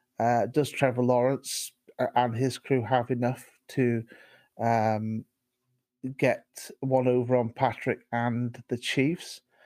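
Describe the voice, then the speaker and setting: A man with a British accent speaks very slowly at a medium pitch, in a flat monotone broken by long, frequent pauses. The recording is very clean, with a silent background and a dry, close sound free of echo. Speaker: podcast co-host. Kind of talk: casual sports chat. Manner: halting, many fillers and repetitions.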